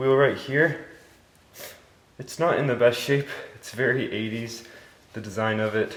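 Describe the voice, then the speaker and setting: A man speaks at a fairly slow pace with fairly even intonation. Noticeable background noise is present. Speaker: car project hobbyist. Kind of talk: casual talk to camera.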